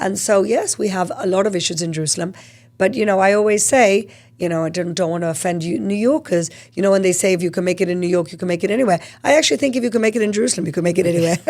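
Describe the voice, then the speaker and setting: A woman at a medium pitch, speaking at a very fast pace. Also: ordinary pitch variation. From Gibraltar. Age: 50s. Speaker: politician and advocacy group co-founder. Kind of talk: podcast interview. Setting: studio.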